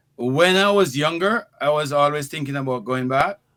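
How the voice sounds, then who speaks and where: A man with a bright, sharp tone speaks at a moderate pace with lively intonation. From Jamaica, Westmoreland parish. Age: 60s. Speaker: healthcare entrepreneur and former teacher. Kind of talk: interview. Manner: halting, with frequent repetitions.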